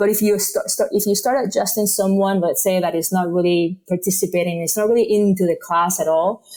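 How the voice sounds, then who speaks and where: A woman speaks with a Spanish accent at medium pitch and a fairly quick pace. Her intonation is fairly even, her loudness very even, and there are hardly any pauses. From Spain. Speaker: yoga teacher. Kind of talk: podcast interview.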